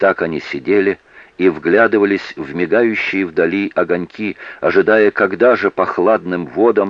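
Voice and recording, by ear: The text is read aloud in a natural voice, the pitch varying in an ordinary way.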